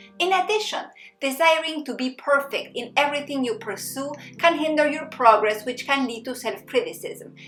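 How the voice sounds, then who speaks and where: Speaking with a non-native accent at a moderate pace, the voice has lively intonation and big swings in loudness. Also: woman, high pitch for a woman. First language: not English. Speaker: psychologist and happiness coach. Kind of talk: self-help tutorial.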